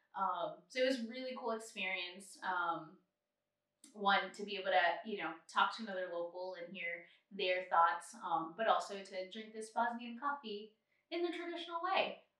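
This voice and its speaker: A woman's voice with very wide pitch swings and big jumps in loudness, plus audible room echo. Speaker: travel podcast co-host. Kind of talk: casual chat.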